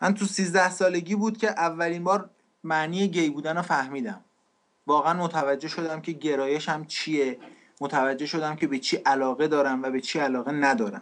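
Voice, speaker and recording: This man has a plain, everyday voice, fairly high in pitch, with ordinary pitch variation. He keeps a moderate pace against a quiet background. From Iran. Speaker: refugee sharing life story. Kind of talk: testimony.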